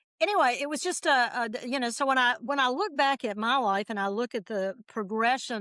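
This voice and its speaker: A woman speaks with a bright, sharp tone and a fairly high pitch. Her pitch varies in an ordinary way, on a very clean recording with a silent background. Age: 70s. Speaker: guest on spirituality podcast. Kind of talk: casual interview conversation. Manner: halting, many false starts.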